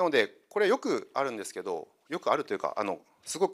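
A man talks at a very fast pace with a quiet background behind him. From Kyushu, Saga; Kyushu, Japan. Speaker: consultant; presenter. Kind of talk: lecture. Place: hall. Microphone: handheld.

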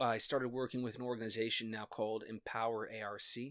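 Against a quiet backdrop, a man talks at a moderate pace. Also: dry sound with no echo. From US Midwest (Iowa, raised in Minnesota). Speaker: actor and songwriter. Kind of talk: casual interview, personal testimony. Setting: home study, in person. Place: home room.

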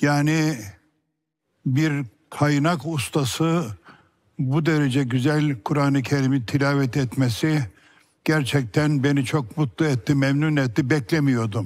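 Very slow in pace, this man speaks with a fairly high pitch. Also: ordinary pitch variation, very even loudness, quiet background. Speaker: competition judge, Quran recitation teacher. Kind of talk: jury feedback on television. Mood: warm, praising. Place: studio. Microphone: headset.

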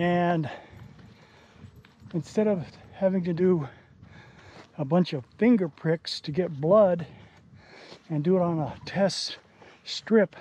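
With long, frequent pauses and a very slow pace, a man speaks in a high-pitched, dark, mellow tone with ordinary pitch variation, in a dry sound with no echo. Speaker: outdoor vlogger. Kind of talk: casual vlog narration. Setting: outdoors. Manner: panting. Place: open country. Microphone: phone near.

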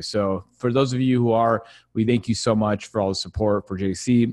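A man is speaking. The background is quiet. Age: 30s. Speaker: webinar host. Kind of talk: casual chat; live webinar talk answering audience questions. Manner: animated. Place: home room. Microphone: studio mic.

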